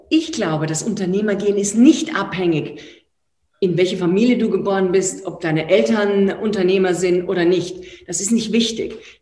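A woman at medium pitch with lively intonation and a moderate pace, in a room with audible echo. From Austria. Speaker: entrepreneur and author. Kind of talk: online talk. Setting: live online event. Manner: animated.

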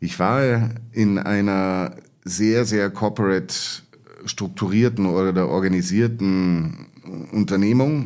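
A man's fairly low-pitched voice. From Munich, Bavaria. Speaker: management consultant. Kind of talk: interview. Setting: studio, in person. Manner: hesitant, many filler sounds.

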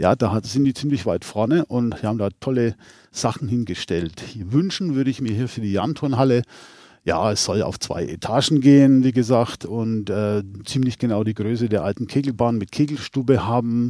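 The voice has a dark, mellow tone and ordinary pitch variation. It moves at a moderate pace on a very clean recording with a silent background. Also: man, medium pitch for a man. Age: 60s. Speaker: caretaker. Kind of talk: casual interview.

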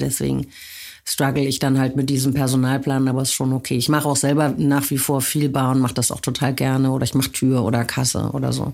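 This woman talks at a fairly quick pace in a very deep, low pitch with vocal fry and monotone, flat intonation. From western Germany, small town. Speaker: club owner and industry association head. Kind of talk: interview.

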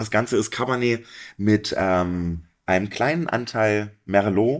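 A man speaks in an unremarkable speaking voice, fairly low in pitch with ordinary pitch variation. The recording is very clean, with a silent background. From Harz, Saxony-Anhalt. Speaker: sommelier. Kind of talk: casual chat.

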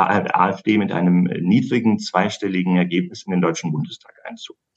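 A man speaks at a very deep, low pitch. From Hesse, Germany. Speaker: political strategy consultant. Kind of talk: interview.

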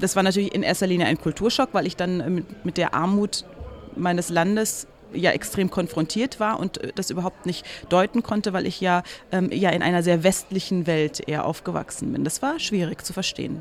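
A woman at a moderate pace and medium pitch, with ordinary pitch variation. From East Germany and Somalia, raised from age 16 in Bonn. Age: 30s. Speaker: journalist and presenter, former refugee. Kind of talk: interview excerpt, personal testimony. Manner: hesitant with fillers.

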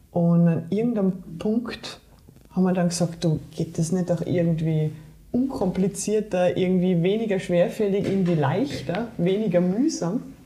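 A woman's medium-pitched voice at a moderate pace, with ordinary pitch variation, very even loudness and noticeable background noise. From Germany, Saarland. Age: 40s. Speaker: trail runner and sports scientist. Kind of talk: interview.

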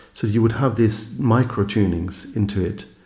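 With a Norwegian accent, a man speaks at a fairly slow pace in a fairly low, somewhat breathy voice with a dark, mellow tone and ordinary pitch variation. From Norway. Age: 50s. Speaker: electronic musician and producer. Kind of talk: casual chat. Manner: halting.

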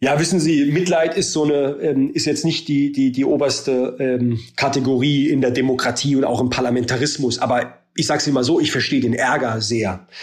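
A man's fairly high voice at a moderate pace, with very even loudness, fairly even intonation and hardly any pauses. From Germany, Baden-Württemberg. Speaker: politician, member of parliament. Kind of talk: interview. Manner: halting, many filler sounds.

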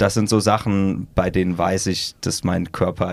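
Over noticeable background noise, a man talks very slowly in a very deep, low voice with a monotone, flat delivery. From Münster area, Westphalia, Germany. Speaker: ultrarunner and adventurer. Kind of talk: casual interview.

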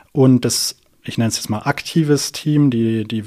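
Medium in pitch with fairly even intonation, a man speaks at a moderate pace. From southern Germany, near Karlsruhe. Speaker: physics PhD student and startup founder. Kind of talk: interview. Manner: hesitant, many fillers.

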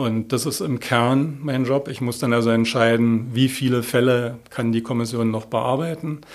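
A man with an ordinary speaking voice talks at a moderate pace and medium pitch, his intonation fairly even and hardly any pauses between words. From Berlin (Moabit). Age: 50s. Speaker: head of a homicide department. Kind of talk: interview.

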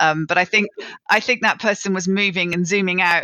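The woman talks very fast, her pitch varying in an ordinary way. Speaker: presentation skills coach. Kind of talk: interview. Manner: energetic; fast talker.

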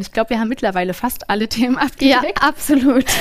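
Over a very clean recording with a silent background, a woman speaks at a very fast pace with ordinary pitch variation. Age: 30s. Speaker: podcast host. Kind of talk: live podcast interview. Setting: stage with live audience.

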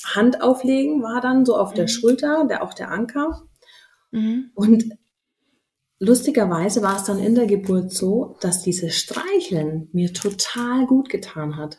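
With an ordinary speaking voice, a woman with a fairly high pitch speaks at a fairly slow pace with lively intonation. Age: 30s. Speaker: mother sharing birth story. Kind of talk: interview.

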